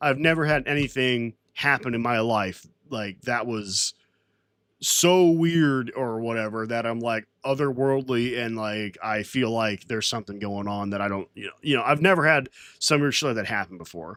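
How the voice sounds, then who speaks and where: With an American accent, a man of medium pitch speaks at a moderate pace and shows ordinary pitch variation. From Florida. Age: 20s. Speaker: livestreamer. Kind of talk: casual livestream chat. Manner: halting, many restarts.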